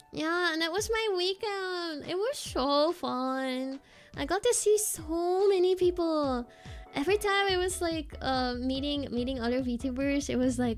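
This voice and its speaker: With music in the background, a woman speaks at an extremely high pitch with lively intonation and a fairly slow pace. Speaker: VTuber streamer. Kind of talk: casual chat. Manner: animated.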